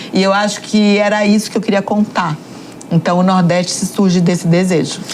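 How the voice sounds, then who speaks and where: A woman with a northeastern Brazilian accent speaks at a fairly quick pace in a medium pitch, with monotone, flat intonation and very even loudness, over noticeable background noise. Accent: Northeastern Brazilian, regained. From Northeast Brazil, Salvador. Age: 50s. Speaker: journalist and entrepreneur. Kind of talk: podcast interview. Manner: hesitant, many fillers.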